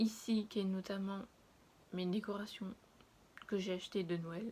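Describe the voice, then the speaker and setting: Her voice sits at a medium pitch and moves at a fairly slow pace. This woman's intonation stays flat and monotone. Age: 20s. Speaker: lifestyle vlogger. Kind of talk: casual vlog chat. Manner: hesitant, many fillers.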